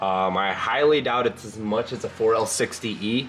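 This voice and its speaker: A man is speaking. There is noticeable noise in the background. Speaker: car builder and video host. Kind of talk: casual garage walkthrough. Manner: halting, many fillers.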